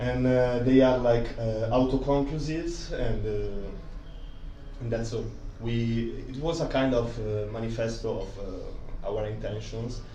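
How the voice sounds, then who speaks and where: A man speaks at a fairly slow pace with an Italian accent. Room echo is audible, and background noise is noticeable. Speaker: comics artist and magazine co-founder. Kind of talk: talk presentation. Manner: halting, many fillers.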